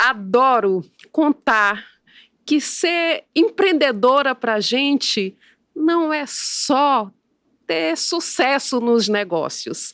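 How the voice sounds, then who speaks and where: A woman with a high pitch speaks at a very slow pace, her voice moving through very wide pitch swings. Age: 60s. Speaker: physician and entrepreneur. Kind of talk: interview.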